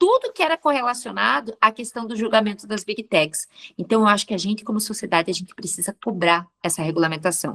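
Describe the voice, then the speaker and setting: A woman with a plain, everyday voice, fairly high pitch and lively intonation, in a dry, close sound with no echo over a quiet background. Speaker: professor. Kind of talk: interview.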